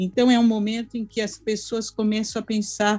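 Here a woman speaks at a medium pitch. Her tone is dark and mellow, and her pace is moderate. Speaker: anthropology professor. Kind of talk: interview. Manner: formal.

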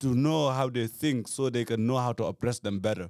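A man with a Gambian accent at a medium pitch, on a very clean recording with a silent background and a dry, close sound with no echo. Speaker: activist. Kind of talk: casual chat.

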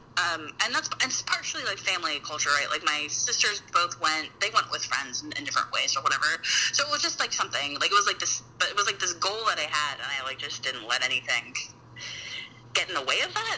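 A woman speaks at a fairly quick pace with music in the background. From Utah. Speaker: mother, podcast guest. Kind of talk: casual chat.

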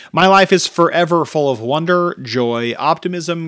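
A man talks at a fairly slow pace. His pitch is fairly high, with ordinary variation. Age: 30s. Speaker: podcast host and author. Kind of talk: reading aloud. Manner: casual.

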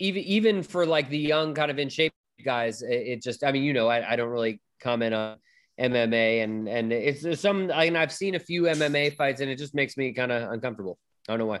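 Recorded very cleanly over a silent background, a man with an American accent and a plain, everyday voice speaks at a medium pitch and a fairly quick pace with lively intonation. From Berkeley, California. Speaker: podcast guest. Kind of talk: casual chat.

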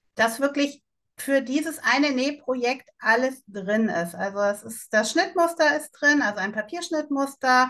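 Her voice high, bright and sharp, a woman speaks at a fairly slow pace with lively intonation. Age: 50s. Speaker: online shop founder. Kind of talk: interview.

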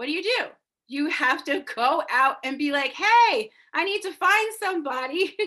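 A woman speaks at a moderate pace in a raised, projected voice with an American accent, her animated tone bright and sharp, her pitch extremely high and swinging very widely. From Massachusetts, US. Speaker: business coach and podcast host. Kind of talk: coaching talk from a recorded live video. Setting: livestream.

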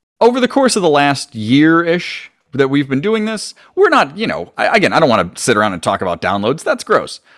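Over a silent background in a very clean recording, a man speaks at a fairly quick pace in a fairly high voice with very wide pitch swings. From Italian-American family. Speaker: podcast co-host. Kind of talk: casual chat.

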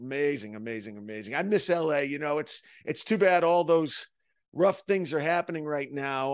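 Against a quiet background, a man with an unremarkable speaking voice talks at a fairly high pitch and a moderate pace, with ordinary pitch variation. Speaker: podcast host. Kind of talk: interview.

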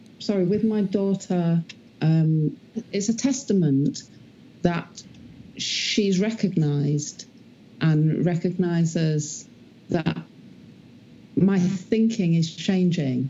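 A woman speaks at a very slow pace with long, frequent pauses. Her fairly low voice has a dark, mellow tone and ordinary pitch variation.

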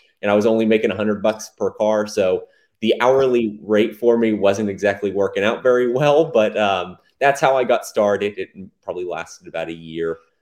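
An unremarkable speaking voice from a man with an American accent, medium in pitch, with ordinary pitch variation and a moderate pace. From Texas, Dallas area. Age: 20s. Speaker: software entrepreneur. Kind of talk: interview.

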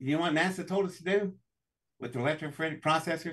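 A man with an American accent, a fairly high voice and a fairly quick pace. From US South, West Virginia. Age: 60s. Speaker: inventor and engineer. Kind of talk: interview. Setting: live stream.

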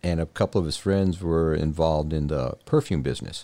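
Very deep and low in pitch, a man speaks in a dark, mellow tone with fairly even intonation. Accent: American. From Texas, Laredo (US-Mexico border). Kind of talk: casual interview chat.

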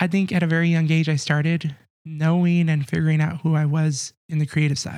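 A man with an American accent talks at a moderate pace in a monotone, flat way. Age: 20s. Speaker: church media volunteer and graphic designer. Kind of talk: casual chat.

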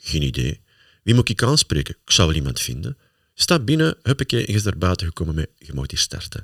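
On a very clean recording with a silent background and a dry, close sound with no echo, a man with a Flemish accent speaks at a fairly quick pace, his very deep, low pitch carrying vocal fry and very wide pitch swings. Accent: Flemish Dutch. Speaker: motivational speaker, podcast host. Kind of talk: casual chat.

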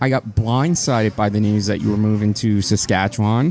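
A man talks at a moderate pace in a medium pitch with ordinary pitch variation. Noticeable background noise runs beneath him. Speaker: podcast host. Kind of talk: casual chat, live-streamed podcast. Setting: live stream recorded for podcast.

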